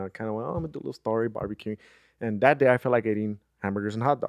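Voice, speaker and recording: A man speaks with a Spanish accent and ordinary pitch variation. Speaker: podcast host. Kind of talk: casual chat.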